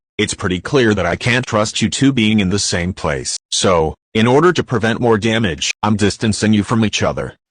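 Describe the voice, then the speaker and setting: A man does a put-on character voice, pitched fairly low for a man. He barely pauses, and the background is quiet. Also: moderate pace. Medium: machinima.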